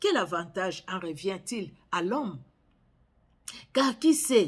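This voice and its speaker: A woman with a Congolese accent, medium in pitch, somewhat breathy, at a very slow pace. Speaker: Bible reader. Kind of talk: sermon; reading aloud. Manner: halting.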